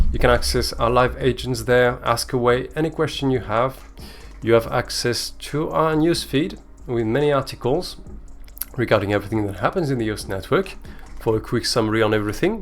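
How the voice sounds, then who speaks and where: With a French accent, a man talks at a fairly quick pace. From France. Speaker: communications manager hosting a crypto giveaway show. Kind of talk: livestream show hosting. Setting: live stream on Twitter space and Twitch.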